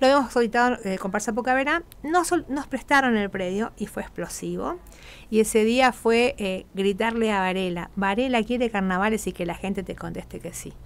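A woman at a fairly high pitch and moderate pace, with ordinary pitch variation and big swings in loudness. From Argentina, Corrientes; Argentina. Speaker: carnival troupe leader; radio guest. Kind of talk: radio interview. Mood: happy, emotional. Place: studio. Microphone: studio mic.

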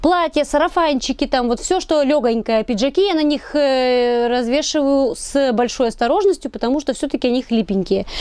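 In a quiet, dry space with no echo, a woman with a high pitch speaks in an animated tone at a moderate pace, with lively intonation, very even loudness and hardly any pauses. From Russia, Tyumen; Russia. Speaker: video blogger. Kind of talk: product review vlog; casual vlog chat, product review. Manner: chatty, animated. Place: home room. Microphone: camera far.

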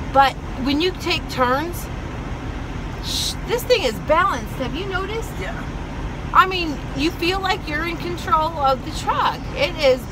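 At a fairly slow pace with long, frequent pauses, a woman speaks at an extremely high pitch, the sound dry with no echo and noticeable background noise behind her. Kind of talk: casual vlog chat. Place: car. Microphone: phone near.

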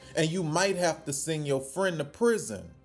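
Faint music plays in the background while the man talks. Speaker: news commentator. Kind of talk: commentary. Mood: indignant, critical. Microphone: phone near.

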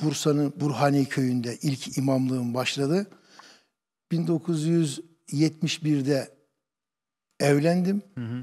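Against a quiet background, a man with a fairly high pitch and a dark, mellow tone speaks at a very slow pace, pausing long and often. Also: ordinary pitch variation. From Turkey, Kütahya; Turkey. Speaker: imam. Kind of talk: interview testimony. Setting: studio. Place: studio. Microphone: lapel.

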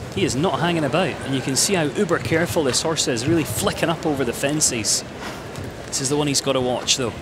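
A man talks very fast with ordinary pitch variation. Noticeable background noise is present. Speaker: show jumping commentator. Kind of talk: live commentary. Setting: arena with audience. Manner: animated.

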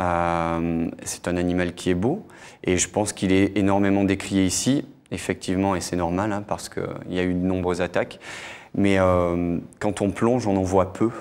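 A man's very deep, low voice at a moderate pace, with monotone, flat intonation. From Monaco. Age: 40s. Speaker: freediver; guest. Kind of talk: TV interview. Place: studio. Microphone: lapel.

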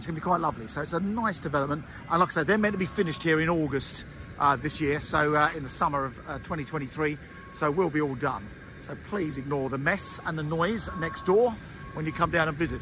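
Over background music, a man speaks at a fairly quick pace in a dry recording with no echo. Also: ordinary pitch variation. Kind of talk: property tour commentary. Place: street. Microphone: phone near.

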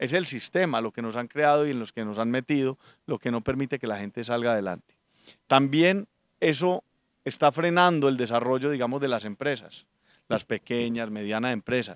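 At a moderate pace, a man with a medium pitch and ordinary pitch variation talks in a dry sound with no echo and a quiet background. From Colombia, Antioquia (Medellín). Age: 40s. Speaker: political candidate and businessman; candidate. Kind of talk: political interview. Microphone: handheld.

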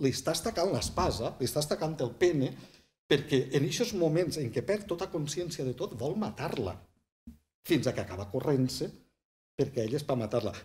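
With a southern Valencian accent, a man talks at a moderate pace in a fairly high, somewhat breathy voice that makes very wide pitch swings. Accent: southern Valencian Catalan. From Vall d'Albaida, Valencia (L'Olleria). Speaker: writer and poet; poet. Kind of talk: casual interview. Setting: small bookshop set up as studio. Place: studio.

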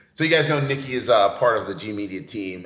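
Very fast and lively in intonation, a man talks with a bright, sharp tone. Audible room echo and light background noise sit behind him. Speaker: podcast host. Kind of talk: casual chat. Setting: on location at an art fair event. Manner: animated, joking. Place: home room.

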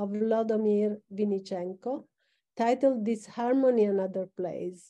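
At a moderate pace, a woman talks in a dark, mellow tone, fairly high in pitch with fairly even intonation. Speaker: organizer, moderator; moderator. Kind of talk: formal introduction. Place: office. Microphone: video call.

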